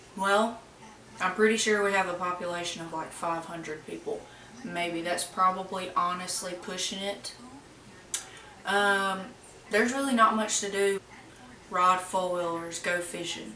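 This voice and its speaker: In an Alabama accent, the speaker uses fairly even intonation and long, frequent pauses amid audible room echo and noticeable background noise. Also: woman, medium pitch for a woman, fairly slow pace. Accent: Southern US (Alabama). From US South, rural Alabama. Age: 20s. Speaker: YouTuber. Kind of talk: casual Q&A vlog. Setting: at home. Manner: casual, chatty.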